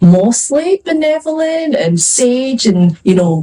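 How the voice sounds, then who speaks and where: A woman speaks with a Scottish accent and lively intonation. Noticeable background noise sits behind her. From Scotland. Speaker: fantasy author. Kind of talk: panel discussion. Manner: casual, hesitant with fillers.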